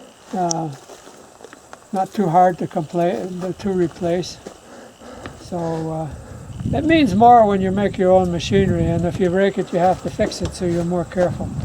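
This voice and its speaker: Against noticeable background noise, a man with a high-pitched voice talks at a moderate pace with ordinary pitch variation and long, frequent pauses. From rural North America, family homestead. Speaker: farmer. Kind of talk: casual chat.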